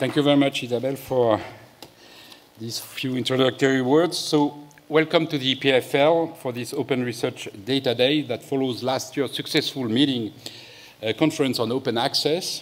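Speaking at a moderate pace, a man is heard. Fairly even intonation marks his delivery. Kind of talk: opening speech. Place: hall. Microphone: podium.

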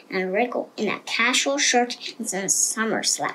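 Reading in an unforced voice

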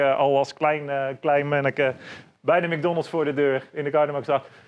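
This man's voice sits at a fairly high pitch. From Netherlands, North Brabant ('s-Hertogenbosch). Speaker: bar owner; podcast guest. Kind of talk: casual interview. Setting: in his bar. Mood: relaxed, cheerful. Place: bar.

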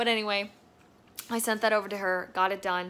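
The tone a woman uses here is bright and sharp. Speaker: vlogger. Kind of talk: casual vlog chat. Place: home room. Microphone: phone near.

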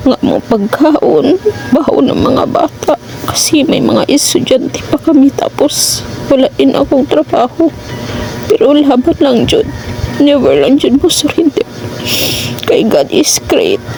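A woman's high-pitched voice with lively intonation and very even loudness, at a fairly slow pace over music in the background. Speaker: vlogger, wife of a dialysis patient. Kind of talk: fervent prayer, pleading aloud to God in a vlog. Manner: earnest, pleading, heartfelt, beseeching.

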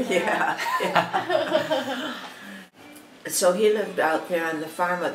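Noticeable background noise behind a woman's very slow delivery. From Jackson, Michigan. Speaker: grandmother interviewed about family history. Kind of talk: interview answer. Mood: calm, reminiscing. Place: home room.

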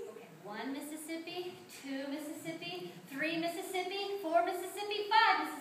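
With extremely high pitch and lively intonation, a woman speaks at a moderate pace, her loudness swinging widely, amid light background noise and audible room echo. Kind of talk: theatrical skit dialogue. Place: church. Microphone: camera far.

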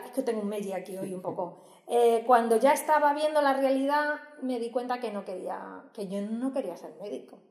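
In a quiet background with audible room echo, a woman speaks at a moderate pace in a high voice with ordinary pitch variation. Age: 30s. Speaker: nursing professor. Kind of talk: casual interview. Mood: relaxed, chatty, animated. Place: hall.

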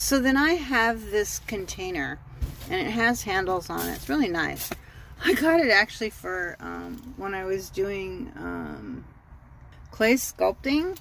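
A woman at a fairly slow pace, with big swings in loudness, dry sound with no echo and light background noise. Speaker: van dweller vlogger. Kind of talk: casual vlog tour. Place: car. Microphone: phone near.

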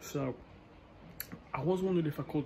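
Through noticeable background noise, a man talks at a very fast pace with fairly even intonation. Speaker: fitness vlogger. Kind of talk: casual vlog chat. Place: garage. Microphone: phone near.

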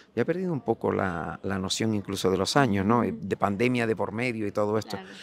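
A man with a fairly low pitch speaks with ordinary pitch variation, in a dry recording with no echo and light background noise. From Canary Islands. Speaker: carnival association president. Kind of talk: TV interview. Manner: halting. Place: street. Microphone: handheld.

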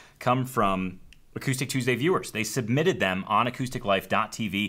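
Here a man speaks in a bright, sharp tone. His intonation is lively. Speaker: show host. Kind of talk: show host commentary to camera. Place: studio.

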